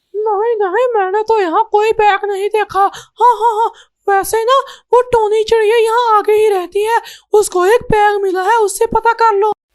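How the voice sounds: This squeaky, cartoonish character voice sits at an extremely high pitch and moves at a moderate pace with monotone, flat intonation.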